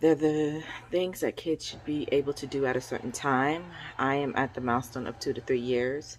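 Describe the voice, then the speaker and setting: Soft-spoken and at a moderate pace, a woman talks with a very deep, low pitch and fairly even intonation. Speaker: parenting vlogger. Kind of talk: casual chat.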